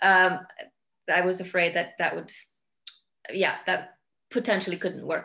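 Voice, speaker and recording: A woman speaks in a monotone with an Icelandic accent, her intonation flat. She talks at a fairly slow pace with long, frequent pauses against a quiet background. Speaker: film director; guest. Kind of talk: interview. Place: home room. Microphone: video call.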